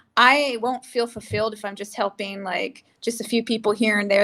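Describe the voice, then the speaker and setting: A woman with an American accent speaks at a fairly high pitch and a fairly quick pace. Her tone is bright and sharp, her intonation fairly even, and the recording very clean with a silent background. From California, US (San Jose). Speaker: actress and entrepreneur. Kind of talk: interview.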